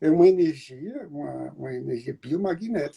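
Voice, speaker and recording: A man with a dark, mellow tone talks fairly slowly. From Brazil. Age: 70s. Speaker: therapist. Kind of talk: interview.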